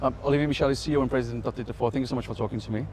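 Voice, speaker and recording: A man with a non-native accent at a medium pitch, very fast delivery and a monotone, flat intonation. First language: not English. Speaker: tech news interviewer. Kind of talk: interview. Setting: conference.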